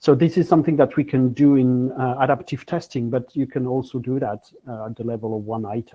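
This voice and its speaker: Speaking fairly quickly with hardly any pauses, a man with a French accent keeps a medium pitch and ordinary pitch variation while his loudness swings widely. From France. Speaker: technology business professional. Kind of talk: conference presentation. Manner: halting, many fillers.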